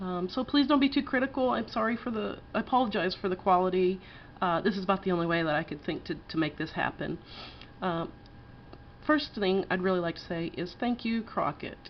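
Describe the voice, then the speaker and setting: A woman with a slight Texas accent talks fairly quickly at a medium pitch. Her intonation is lively. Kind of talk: casual campfire story told to camera.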